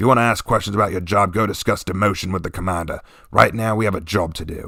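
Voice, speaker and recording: In a put-on character voice, a man growls at a very fast pace, raspy and fairly low-pitched, on a very clean recording with a silent background. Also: fairly even intonation. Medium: read story. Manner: growling, curt.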